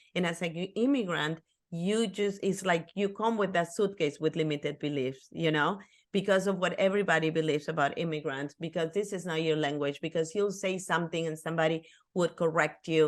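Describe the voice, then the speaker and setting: In a Spanish accent, a woman with a fairly low pitch talks at a fairly quick pace with ordinary pitch variation against a quiet background. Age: 50s. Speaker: author and life coach. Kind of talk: interview podcast.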